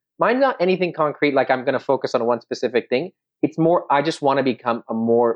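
This man has an ordinary speaking voice. His intonation is lively and his pace fairly quick. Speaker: oral surgery resident podcast co-host. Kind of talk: casual chat.

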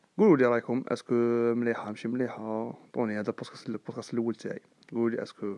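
The sound is dry and close with no echo, though noticeable background noise is present. A man of medium pitch speaks at a very fast pace in a monotone, flat intonation. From Algeria, Sidi Bel Abbès. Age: 20s. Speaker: student and podcast host. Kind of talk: casual monologue. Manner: talkative.

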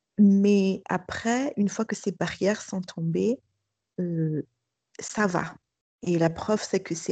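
In a dry, close sound with no echo and a quiet background, a woman speaks at a very slow pace with long, frequent pauses, her tone dark, mellow and somewhat breathy. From Madagascar. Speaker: school principal. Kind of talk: testimony. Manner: hesitant.

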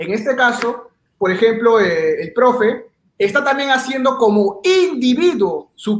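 The speaker talks at a fairly slow pace with lively intonation. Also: man. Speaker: YouTuber. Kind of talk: debate. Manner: halting.

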